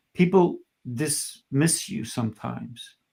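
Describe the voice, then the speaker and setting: Vocal fry colors a man's speech, which shows ordinary pitch variation. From Colombia. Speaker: talk show host and communication coach. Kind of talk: panel discussion. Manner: animated.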